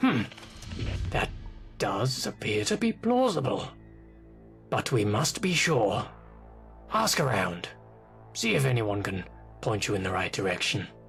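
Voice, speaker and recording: A man's put-on character voice at a moderate pace, with long, frequent pauses and clear music in the background. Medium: video game. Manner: formal, precise and self-important.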